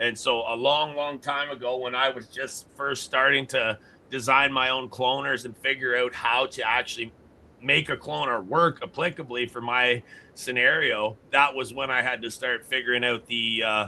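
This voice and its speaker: With a Canadian accent, a man talks at a medium pitch and moderate pace in a normal speaking voice with fairly even intonation. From Canada. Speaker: grow system company founder and podcast host. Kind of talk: casual chat.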